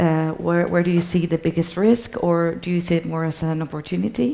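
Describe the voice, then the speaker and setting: A woman speaks with a Spanish accent at a moderate pace. Her pitch is fairly low. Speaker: culture and sustainability expert, moderator. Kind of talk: onstage interview. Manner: hesitant, many fillers.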